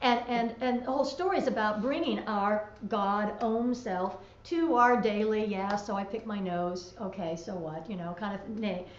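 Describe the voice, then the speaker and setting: Through noticeable background noise and audible room echo, a woman with a fairly high pitch and ordinary pitch variation talks with hardly any pauses. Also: moderate pace. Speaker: talk show co-host. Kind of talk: casual chat. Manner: loud.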